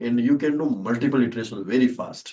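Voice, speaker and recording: A man with a Rajasthani accent speaks in a dark, mellow tone at medium pitch, moderate pace and fairly even intonation. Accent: Indian (Rajasthani) English. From Rajasthan, India. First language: Shekhawati (Rajasthani dialect). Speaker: startup founder and CEO. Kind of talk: podcast interview answer.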